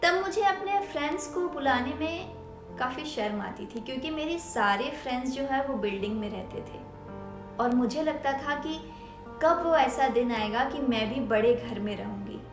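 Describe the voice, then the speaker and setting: A woman speaks with lively intonation at a high pitch while music plays in the background. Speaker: storyteller. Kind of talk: first-person storytelling narration, personal story.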